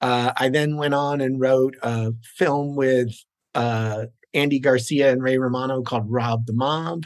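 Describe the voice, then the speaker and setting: In a normal speaking voice, a man at a medium pitch talks at a fairly slow pace with fairly even intonation. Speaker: screenwriter and producer. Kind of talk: casual interview chat.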